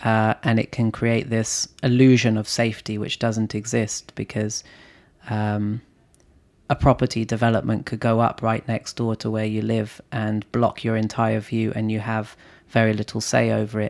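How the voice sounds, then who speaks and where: At a medium pitch and moderate pace, a man speaks in a monotone, flat intonation, with a dry, close sound and no echo. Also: very clean recording, silent background. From London, England. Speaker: entrepreneur and investor. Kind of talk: casual chat. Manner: hesitant, many filler words.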